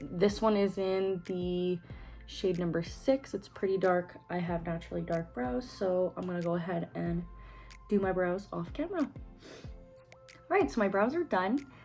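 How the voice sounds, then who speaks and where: With a Canadian accent, a woman speaks at a fairly slow pace as music plays in the background. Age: 20s. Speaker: beauty vlogger. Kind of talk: makeup tutorial talk to camera.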